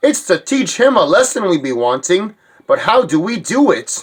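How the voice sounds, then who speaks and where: Putting on a character voice, a man speaks in a high pitch at a moderate pace. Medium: fan dub. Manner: indignant.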